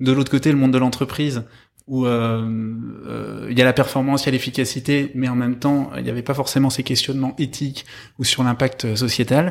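With monotone, flat intonation, a man talks at a moderate pace on a very clean recording with a silent background. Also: medium pitch for a man. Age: 30s. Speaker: social entrepreneur. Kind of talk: interview. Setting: in person, speaking with masks on. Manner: halting, many fillers.

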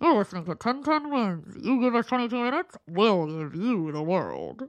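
A put-on character voice, female-sounding and fairly high-pitched, at a moderate pace against a quiet background. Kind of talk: announcer, promotional.

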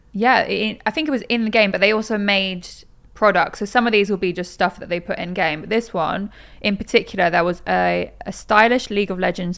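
On a very clean recording with a silent background, a woman talks at a medium pitch with vocal fry and ordinary pitch variation. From Norwich, England. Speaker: podcast host. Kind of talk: casual chat.

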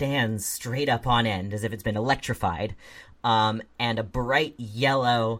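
The voice reads aloud naturally. Its intonation holds fairly even.

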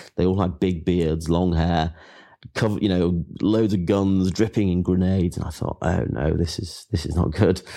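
Against a quiet background, a man with an English accent and a very deep, low pitch talks in a dark, mellow tone at a moderate pace with fairly even intonation. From England. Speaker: writer, former soldier and explorer. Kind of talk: interview.

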